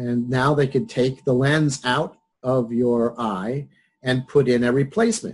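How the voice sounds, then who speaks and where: A man talks very slowly, his pitch varying in an ordinary way. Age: 60s. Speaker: psychology professor. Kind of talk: lecture. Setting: video call. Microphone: webcam.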